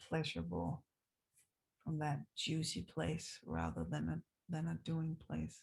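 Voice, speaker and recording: The tone is relaxed. A woman is speaking. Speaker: dance teacher. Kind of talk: casual video diary. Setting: recorded on zoom after class. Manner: slow, relaxed.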